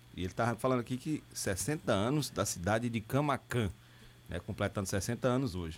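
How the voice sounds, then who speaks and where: This voice has vocal fry and very wide pitch swings. It moves at a moderate pace. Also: man. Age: 40s. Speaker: radio host. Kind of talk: news reading and interview.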